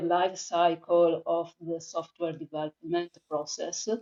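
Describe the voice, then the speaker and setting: Very slowly, a woman with an Italian accent talks at a medium pitch. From Italy. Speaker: freelance conversation designer. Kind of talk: podcast interview. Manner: halting, many fillers.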